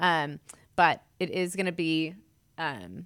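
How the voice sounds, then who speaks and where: Vocal fry runs through this woman's voice. She speaks with an American accent. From California and Utah. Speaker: business owner. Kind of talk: interview. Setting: studio.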